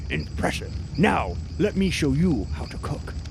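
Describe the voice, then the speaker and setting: A man puts on a character voice at a fairly low pitch. He keeps a moderate pace over loud background noise. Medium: actual play. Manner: blunt, earnest, formal short phrases.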